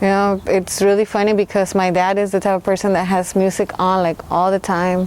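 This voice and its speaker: Speaking at a fairly quick pace with hardly any pauses, a woman holds a medium pitch, a monotone, flat intonation and very even loudness. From Mexico, raised in Los Angeles. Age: 30s. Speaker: hip-hop artist. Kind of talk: interview. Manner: casual, hesitant with fillers.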